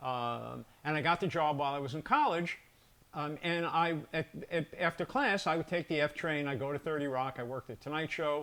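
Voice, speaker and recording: Speaking with an American accent, a man uses a fairly high pitch, a bright, sharp tone, ordinary pitch variation and a moderate pace. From New York. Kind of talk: casual chat. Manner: halting.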